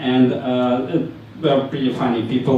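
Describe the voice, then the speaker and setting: Speaking with a Ukrainian accent, a man talks at medium pitch and a moderate pace. Room echo is audible, and there is noticeable background noise. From Ukraine. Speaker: conference speaker. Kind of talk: tech meetup talk. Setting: stage with audience. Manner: halting, many fillers.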